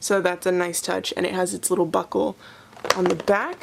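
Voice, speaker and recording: Over noticeable background noise, a woman talks in an excited tone at a fairly slow pace. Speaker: toy collector vlogger. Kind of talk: unboxing review. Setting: sitting on floor at home.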